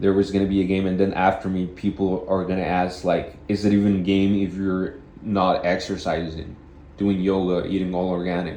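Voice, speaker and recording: A man's very deep, low voice in a flat monotone, with audible room echo. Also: moderate pace. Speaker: vlogger. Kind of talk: casual monologue. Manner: halting, with repeated words.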